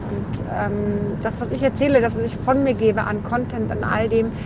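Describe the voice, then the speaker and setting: Spoken at a moderate pace, the clip carries noticeable background noise and audible room echo. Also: woman. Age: 30s. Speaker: podcaster. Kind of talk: personal monologue. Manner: halting.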